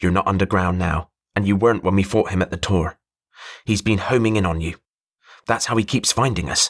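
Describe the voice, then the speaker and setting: A growling put-on character voice from a man, fairly low and fairly even in intonation, at a fairly quick pace with long, frequent pauses and a dry, close sound with no echo. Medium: read story. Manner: intense, forceful.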